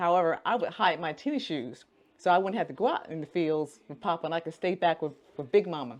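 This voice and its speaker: In an American accent, a woman speaks at a fairly quick pace and fairly low pitch with ordinary pitch variation against a quiet background. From Alabama, US South. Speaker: faith-based coach. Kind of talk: personal story told to camera.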